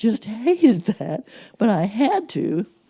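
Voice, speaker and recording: The tone is dark and mellow, with vocal fry. The pitch swings very widely. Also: woman. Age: 80s+. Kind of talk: interview answer.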